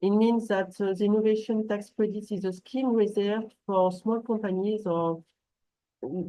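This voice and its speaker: A woman with a French accent talks at a moderate pace and a medium pitch. Her intonation is fairly even and her tone dark and mellow. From France. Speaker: translation company manager. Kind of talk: business webinar presentation. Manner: halting, many fillers and restarts.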